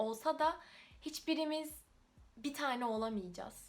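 High-pitched woman's voice at a moderate pace, with ordinary pitch variation. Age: 20s. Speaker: YouTuber. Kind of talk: casual talk to camera.

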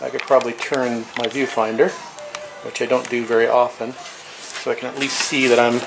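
A man's monotone, flat delivery at a moderate pace, with music in the background. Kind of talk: casual vlog chat. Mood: relaxed after work. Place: garage. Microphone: camera far.

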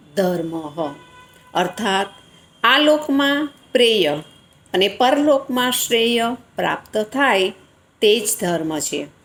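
Over music in the background, a woman with a fairly high pitch speaks with very wide pitch swings. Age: 60s. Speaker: retired teacher. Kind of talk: book review.

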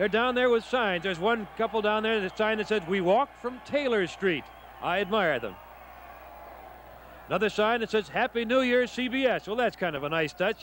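With light background noise, a man speaks at a high pitch in a dry sound with no echo. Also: ordinary pitch variation, moderate pace. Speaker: TV reporter on location. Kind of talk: live broadcast commentary. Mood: cheerful, light-hearted. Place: street. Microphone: handheld.

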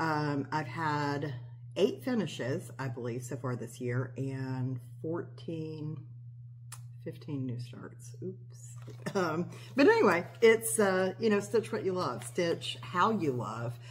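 Her pitch is very deep and low for a woman, and she speaks at a very slow pace. The woman's loudness swings widely, with light background noise behind her. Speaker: cross-stitch hobby vlogger. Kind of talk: casual vlog chat. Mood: relaxed, chatty. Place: kitchen. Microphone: phone near.

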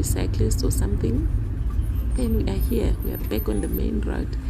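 Loud background noise runs under speech delivered at a fairly slow pace. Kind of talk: casual vlog commentary. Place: car.

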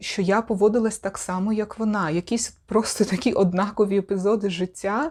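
With an ordinary speaking voice, a woman talks at a moderate pace and medium pitch, her intonation fairly even and her speech showing hardly any pauses. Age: 30s. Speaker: video blogger and sexology student. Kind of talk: vlog monologue.

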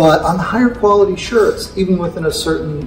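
A man's voice with audible room echo and clear music in the background. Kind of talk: interview answer. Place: hall.

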